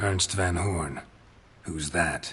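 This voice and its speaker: Raspy and very deep in pitch, a man delivers a put-on character voice. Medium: short film. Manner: terse, deadpan.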